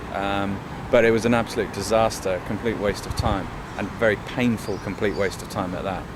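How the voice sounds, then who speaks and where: At a fairly quick pace, a man talks with fairly low pitch and fairly even intonation. Audible room echo and noticeable background noise accompany him. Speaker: band member. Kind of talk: interview.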